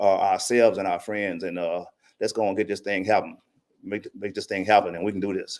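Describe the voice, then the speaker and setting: Fairly quick in pace, a man is heard on a very clean recording with a silent background. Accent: Mississippi. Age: 70s. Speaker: public commenter. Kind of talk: public comment at city budget hearing. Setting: city council meeting.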